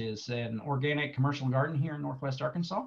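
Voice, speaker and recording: Somewhat breathy speech at a fairly quick pace over a quiet background. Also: man. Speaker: presenter. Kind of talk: online presentation. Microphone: webcam.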